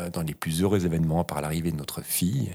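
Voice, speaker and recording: In a very clean recording with a silent background, a man talks at a very deep, low pitch. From Switzerland, Vaud (Lake Geneva region). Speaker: podcast host. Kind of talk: casual chat. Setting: farmhouse room.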